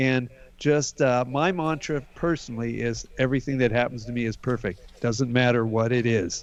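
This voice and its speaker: A man's normal speaking voice at medium pitch, moderate in pace, with ordinary pitch variation. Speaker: healer. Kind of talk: guided healing exercise.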